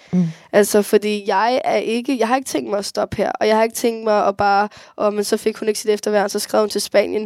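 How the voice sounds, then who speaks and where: With an ordinary speaking voice, a woman talks at a fairly quick pace and fairly high pitch with ordinary pitch variation, recorded very cleanly against a silent background in a dry, close sound with no echo. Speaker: young person who grew up in care. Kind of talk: interview.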